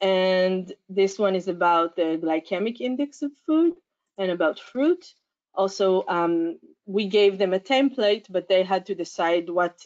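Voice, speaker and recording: A woman with a normal speaking voice and medium pitch talks at a fairly slow pace with ordinary pitch variation, the sound dry and close with no echo. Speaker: science education researcher. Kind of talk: conference talk. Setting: conference.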